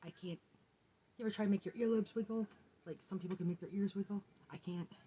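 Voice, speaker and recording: This woman has a dark, mellow tone. She sounds somewhat breathy. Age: 40s. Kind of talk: personal video diary to camera.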